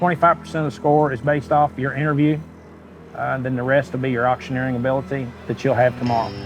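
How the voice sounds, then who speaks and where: With music in the background, a man speaks at a very fast pace in a medium pitch with fairly even intonation. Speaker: auctioneer contestant. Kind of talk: interview answer.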